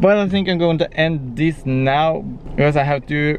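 In a Norwegian accent, a man speaks at a fairly high pitch, with a dry sound, no echo and light background noise. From Norway. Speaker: vlogger. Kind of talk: casual vlog. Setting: on the couch.

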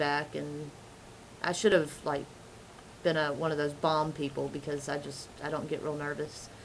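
A woman speaks in a very deep, low pitch with monotone, flat intonation at a fairly slow pace. She leaves long, frequent pauses, with light background noise. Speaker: mom blogger and vlogger; mom blogger, vlogger. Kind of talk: casual vlog. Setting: outdoors. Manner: laid back. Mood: calm, laid back. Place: home room. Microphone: webcam.

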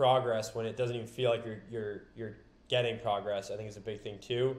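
The man's voice carries audible room echo. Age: 20s. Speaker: supplement entrepreneur; podcast guest. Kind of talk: casual chat. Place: home room.

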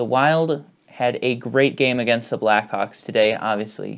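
The background is quiet. A man speaks with ordinary pitch variation. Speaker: sports vlogger. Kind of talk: sports recap commentary. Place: home room. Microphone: earbuds.

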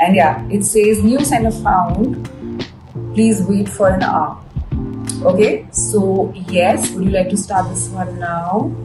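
Clear music plays behind the voice. A woman talks at a very slow pace. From India. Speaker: actress and model reviewing a product; actress, model reviewing a product. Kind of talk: product unboxing review. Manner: animated. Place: home room.

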